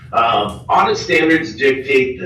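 At a fairly slow pace, a man is speaking. Noticeable background noise and audible room echo are present. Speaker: auditor presenting audit results. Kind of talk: presentation to city council. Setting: city council meeting room. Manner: animated.

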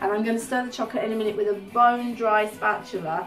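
A woman talks at a very fast pace. Faint music plays in the background. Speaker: home cooking host. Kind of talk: cooking tutorial. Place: kitchen.

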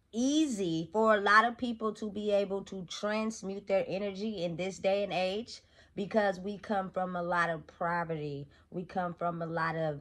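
A woman is speaking at a moderate pace. She uses ordinary pitch variation. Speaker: motivational vlogger. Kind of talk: casual vlog chat. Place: home room.

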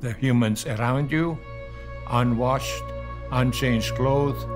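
Music is clearly audible in the background. A man speaks at a fairly slow pace. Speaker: Holocaust survivor. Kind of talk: interview answer. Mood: grave, somber recollection. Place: home room.

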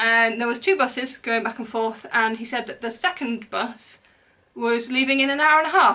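A woman speaks at a moderate pace with a bright, sharp tone and a fairly high pitch. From England. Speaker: crochet designer and podcaster; podcaster. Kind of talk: casual haul video monologue. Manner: animated. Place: home room. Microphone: camera far.

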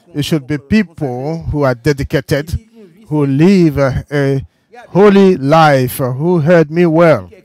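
Delivered at a very slow pace, the speech has ordinary pitch variation and a dry sound with no echo. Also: man. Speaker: church sermon interpreter. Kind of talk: sermon. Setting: church. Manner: halting. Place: church. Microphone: podium.

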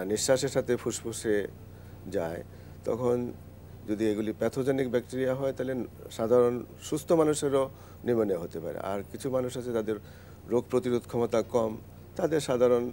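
Over light background noise, a man speaks in a dark, mellow tone. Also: medium pitch for a man, ordinary pitch variation. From Bangladesh. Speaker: medicine professor. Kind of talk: live TV health talk. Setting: studio. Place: studio. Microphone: lapel.

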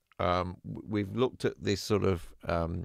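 Very deep, low-pitched man with vocal fry and ordinary pitch variation at a very slow pace, dry with no echo against a quiet background. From Australian-born, raised in England from age nine. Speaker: music production YouTuber. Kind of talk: livestream gear recommendations. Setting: home studio livestream. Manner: hesitant, many fillers. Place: studio. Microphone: studio mic.

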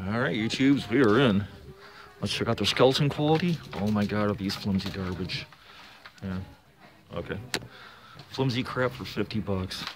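Moderate pace, long, frequent pauses and noticeable background noise. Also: man, fairly low pitch for a man. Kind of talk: casual vlog chat. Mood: critical, sarcastic. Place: shop. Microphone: phone near.

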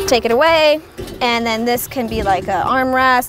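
Over noticeable background noise, a woman speaks at a moderate pace with ordinary pitch variation in a dry sound with no echo. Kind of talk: casual vlog chat. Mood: relaxed, playful. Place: car. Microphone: lapel.

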